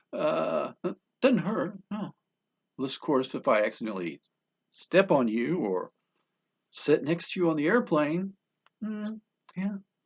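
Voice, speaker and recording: A high-pitched man's voice with very wide pitch swings, fairly slow, with long, frequent pauses. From New Hampshire. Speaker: comedian. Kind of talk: stand-up. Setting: home studio.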